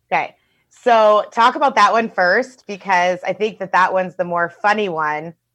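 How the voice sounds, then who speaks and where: This woman's voice sits at a medium pitch, with a bright, sharp tone and an animated, enthusiastic delivery. She talks at a moderate pace with ordinary pitch variation over a quiet background. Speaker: host of a web show, therapist. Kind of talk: casual chat, interview with her brother. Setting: recorded remotely, video or call.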